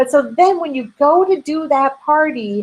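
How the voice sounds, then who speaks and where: Delivered at a moderate pace with a Minnesotan accent, this voice makes very wide pitch swings. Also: woman. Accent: Minnesota. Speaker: direct sales business coach. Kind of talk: webinar Q&A. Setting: online webinar. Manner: filler-heavy, many ums.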